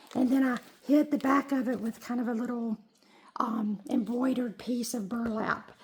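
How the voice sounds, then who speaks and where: A woman's high voice with fairly even intonation at a moderate pace, over noticeable background noise. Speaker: junk journal crafter. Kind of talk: casual talk to camera. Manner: hesitant, many filler words.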